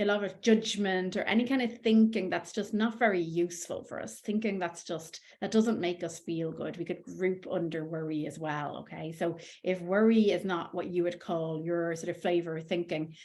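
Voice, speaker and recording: A woman with a fairly low pitch talks with hardly any pauses. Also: ordinary pitch variation, moderate pace. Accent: Irish. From Ireland. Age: 40s. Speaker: life coach. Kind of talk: coaching talk.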